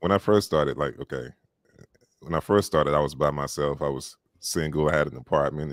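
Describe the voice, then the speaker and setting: A man with a Southern US accent and vocal fry speaks at a very deep, low pitch in a dry, close sound with no echo. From US South. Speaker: audiobook narrator. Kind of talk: casual chat.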